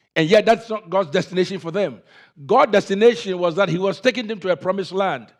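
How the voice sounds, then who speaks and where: A very fast-talking man with a high pitch, ordinary pitch variation and an African accent, over a quiet background. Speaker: pastor. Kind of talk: sermon.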